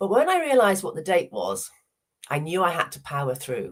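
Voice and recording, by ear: A woman at a moderate pace, fairly low in pitch, with very wide pitch swings.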